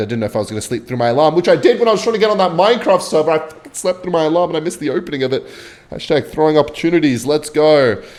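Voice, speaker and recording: Over noticeable background noise, a man with an Australian accent speaks at a very fast pace. His tone is animated, with very wide pitch swings. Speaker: gaming youtuber. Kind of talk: casual gameplay commentary with storytelling. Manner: rambling, animated.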